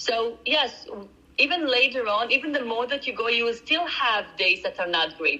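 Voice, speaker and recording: A woman speaks in a raised, projected voice, pitched high with lively intonation and a non-native accent. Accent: foreign accent, noticeable. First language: not English. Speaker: nutritional coach. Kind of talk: interview conversation.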